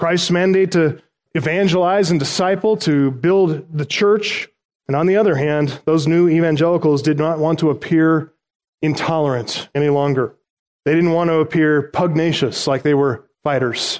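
A man's fairly high-pitched, normal speaking voice at a moderate pace, with fairly even intonation and very even loudness. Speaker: pastor. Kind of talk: sermon.

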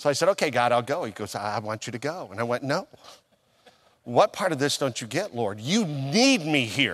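In an ordinary speaking voice, a man talks at a moderate pace. His pitch is medium, and his intonation is lively. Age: 50s. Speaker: pastor. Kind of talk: sermon.

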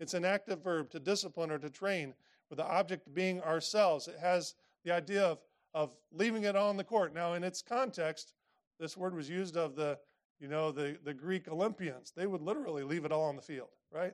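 With a Midwestern American accent, a man speaks at a fairly quick pace. His pitch is high. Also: ordinary pitch variation. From Indiana, US Midwest. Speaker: pastor. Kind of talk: sermon.

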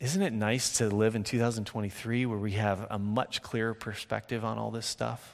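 This man has a plain, everyday voice of medium pitch. He speaks at a moderate pace with fairly even intonation and hardly any pauses. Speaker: preacher. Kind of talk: sermon. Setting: church; stage with audience.

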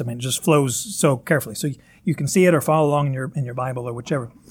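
A man with a Northern Kentucky accent talks at a very fast pace. His voice is somewhat breathy and fairly high-pitched. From Northern Kentucky, US. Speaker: pastor. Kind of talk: sermon. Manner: halting, with many fillers.

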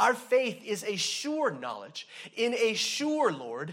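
Fairly slow speech from a man, audible room echo around it. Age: 40s. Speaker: pastor. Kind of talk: sermon.

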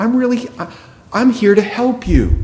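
A man is speaking. The room echo is audible. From New England. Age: 50s. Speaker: pastor. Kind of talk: sermon.

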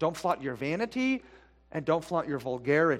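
Lively in intonation, a man with an unremarkable speaking voice talks at a fairly high pitch on a very clean recording with a silent background. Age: 40s. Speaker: pastor. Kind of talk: sermon. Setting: church.

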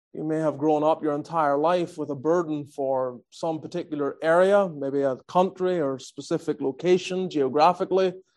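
In a Northern Irish accent, a man talks at a moderate pace with hardly any pauses and fairly even intonation. His pitch is fairly high, and the background is quiet. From Northern Ireland. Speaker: visiting preacher. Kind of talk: sermon.

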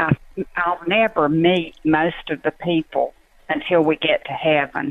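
A woman's fairly low voice unfolds at a very slow pace. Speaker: prayer team leader, volunteer. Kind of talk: casual chat. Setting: phone call.

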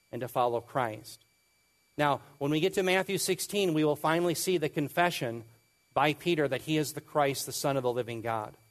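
A man talks at a fairly quick pace. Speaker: preacher, bible teacher. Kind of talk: sermon, expository teaching.

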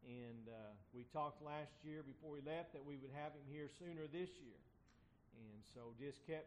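Speaking at a moderate pace with fairly even intonation, a man has a fairly high pitch and an unremarkable speaking voice. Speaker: church pastor. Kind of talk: church announcements and prayer.

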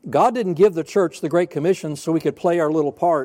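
With a Southern US accent, a man talks in a dark, mellow tone at a fairly high pitch on a very clean recording with a silent background. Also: dry, close sound with no echo. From US South (North Alabama, then Florida). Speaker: pastor. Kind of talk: sermon. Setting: church.

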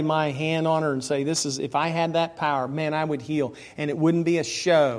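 There is audible room echo as a man with an American accent talks at a fairly quick pace, his fairly high voice keeping fairly even intonation. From Pennsylvania and Maryland. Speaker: Bible teacher. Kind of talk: Sunday school lesson. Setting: church.

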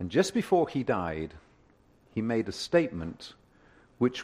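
A man with a British accent speaks at a moderate pace in a fairly low pitch. His tone is dark and mellow, and his intonation is lively. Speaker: preacher. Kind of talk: sermon. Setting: church. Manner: hesitant, fillers.

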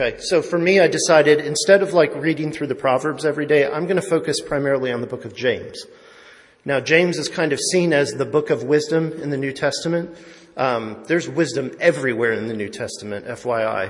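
In a room with audible echo, a man talks at a fairly quick pace with a fairly high pitch and ordinary pitch variation. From Italian-American family. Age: 40s. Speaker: lay preacher. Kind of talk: sermon.

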